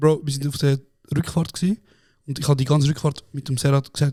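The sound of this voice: A man speaks at a fairly quick pace, his pitch fairly high. His tone is dark and mellow, with little pitch movement.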